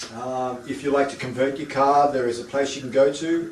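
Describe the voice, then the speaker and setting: Amid noticeable background noise and audible room echo, a man with an Australian accent speaks at a moderate pace and a medium pitch. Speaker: home distilling equipment seller. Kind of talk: product demonstration. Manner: halting, many fillers and repeats.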